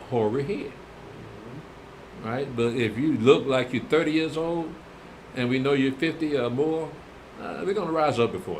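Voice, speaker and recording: A fairly high-pitched man speaks with lively intonation. Room echo can be heard in the recording. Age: old. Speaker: religious teacher. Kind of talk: Bible class answering viewer comments. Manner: casual, conversational.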